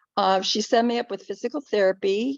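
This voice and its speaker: A woman's plain, everyday voice at a fairly quick pace. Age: 60s. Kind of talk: panel presentation, personal testimony.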